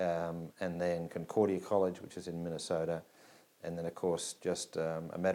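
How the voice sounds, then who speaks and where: A man speaks in a very deep, low voice with a dark, mellow tone. His intonation stays monotone and flat, with an Australian accent. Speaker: business school dean. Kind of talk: personal introduction interview.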